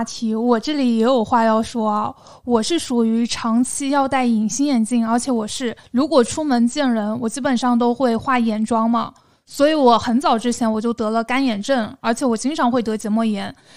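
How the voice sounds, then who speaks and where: Speaking with a southern Chinese accent, a woman uses a high pitch and fairly even intonation in a very clean recording with a silent background. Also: moderate pace. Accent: southern Chinese accent in Mandarin. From southern China, small city. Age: 30s. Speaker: podcast co-host. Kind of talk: casual chat.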